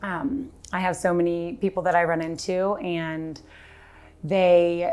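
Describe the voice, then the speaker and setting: A woman speaks in a fairly low voice with fairly even intonation. There is audible echo from the room. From Texas, Dallas. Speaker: granddaughter, league member. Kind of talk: tribute speech. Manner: halting.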